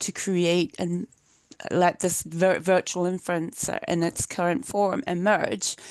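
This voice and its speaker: Against a quiet background, the speaker moves at a fairly slow pace with fairly even intonation. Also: woman. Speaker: academic keynote speaker. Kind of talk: lecture. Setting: video call. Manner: halting.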